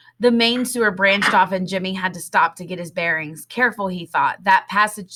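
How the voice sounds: Someone reads in a natural voice, and the pitch moves in an ordinary range.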